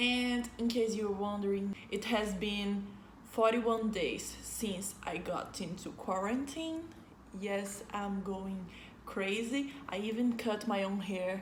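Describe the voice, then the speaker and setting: With noticeable background noise and audible room echo, a woman speaks very slowly, her pitch varying in an ordinary way. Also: medium pitch for a woman. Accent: Brazilian. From Brazil. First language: Portuguese. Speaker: vlogger. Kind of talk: casual vlog talk to camera. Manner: animated.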